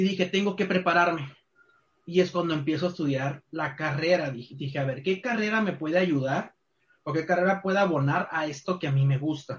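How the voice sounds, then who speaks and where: Delivered at a fairly quick pace, a plain, everyday voice moves with ordinary pitch variation. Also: man, fairly high pitch for a man. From Culiacán, Sinaloa, Mexico. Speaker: university tourism program coordinator. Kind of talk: casual interview.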